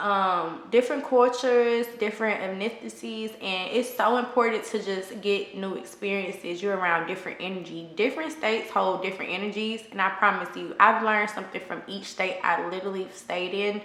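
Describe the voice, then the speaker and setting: A woman with an American accent talks at a fairly quick pace with hardly any pauses, medium pitch and ordinary pitch variation, amid noticeable background noise and audible room echo. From Texas, Houston. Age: 30s. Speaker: lifestyle vlogger. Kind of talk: casual advice chat.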